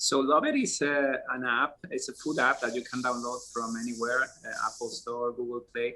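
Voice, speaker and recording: A man with a Spanish accent talks with hardly any pauses. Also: moderate pace. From Spain. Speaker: app founder. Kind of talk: interview. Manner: hesitant, many fillers.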